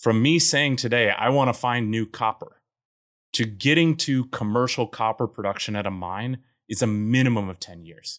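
In a very clean recording with a silent background, a man with an American accent talks at a moderate pace in an ordinary speaking voice, his medium pitch showing ordinary variation. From US Mountain West, Colorado. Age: 30s. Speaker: geologist and startup founder. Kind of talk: casual interview.

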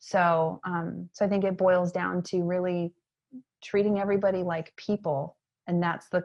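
Over a quiet background, a normal speaking voice with an American accent moves at a moderate pace with fairly even intonation. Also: woman. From Maine, US. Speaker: educator and entrepreneur. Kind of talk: interview conversation.

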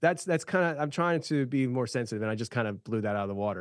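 An unremarkable speaking voice with lively intonation. The recording is very clean, with a silent background. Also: man. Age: 30s. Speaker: podcast host. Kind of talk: casual chat.

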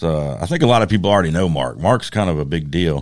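With a very deep, low pitch, a man talks with ordinary pitch variation. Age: 30s. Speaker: podcast co-host and knife maker. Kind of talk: casual chat.

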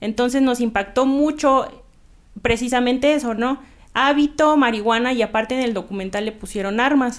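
The speaker moves at a moderate pace with ordinary pitch variation. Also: woman, high pitch for a woman. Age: 30s. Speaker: nun and cannabis legalization activist. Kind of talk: casual interview chat.

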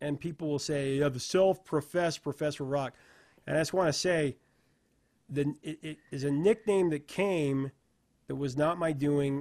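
It's an unremarkable speaking voice: a man with an American accent, fairly high in pitch, at a moderate pace with fairly even intonation. The recording is very clean, with a silent background and a dry, close sound with no echo. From Idaho, US. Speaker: music interviewer. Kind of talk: interview.

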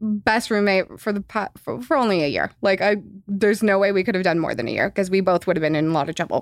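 Someone with an American accent speaks at a very fast pace with ordinary pitch variation in a very clean recording with a silent background. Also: woman, medium pitch for a woman. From Los Angeles, California. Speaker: podcast guest with a regular job. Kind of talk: casual chat.

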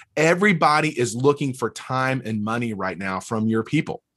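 A man speaks at a moderate pace in a Southern US accent. His intonation is lively, and the background is quiet. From US South, North Alabama. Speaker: church leadership consultant. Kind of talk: interview.

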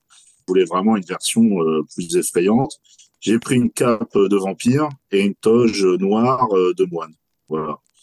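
Speaking fairly slowly in an unremarkable speaking voice, a man with a fairly low pitch and ordinary pitch variation shows big swings in loudness, the sound dry and close with no echo. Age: 40s. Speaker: horror festival founder and clothing brand creator. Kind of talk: interview.

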